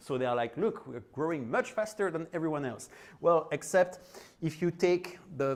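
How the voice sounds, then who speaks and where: A man talks with a French accent. His pitch is fairly high and his intonation lively. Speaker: conference speaker. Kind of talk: tech talk. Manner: casual, hesitant with fillers.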